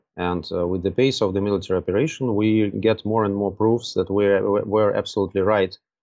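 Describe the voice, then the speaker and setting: Speaking with a Russian accent, a man talks at a moderate pace with fairly even intonation and a fairly low pitch. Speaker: diplomat. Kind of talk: political interview. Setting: remote call. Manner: hesitant, many filler sounds.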